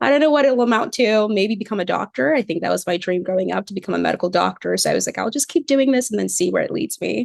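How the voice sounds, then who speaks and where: A woman speaks at a very fast pace in an American accent. The sound is dry and close, with no echo. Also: hardly any pauses. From Cameroon. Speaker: PhD student researcher. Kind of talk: interview.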